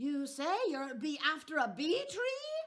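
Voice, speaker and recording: A female-sounding voice puts on a shrill character voice with high pitch at a fairly slow pace. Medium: read story. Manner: shrieking, exclamatory.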